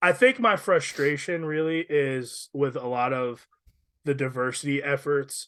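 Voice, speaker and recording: You hear a man's voice. Its pitch is fairly high. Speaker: podcast co-host. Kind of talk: casual chat. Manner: loud.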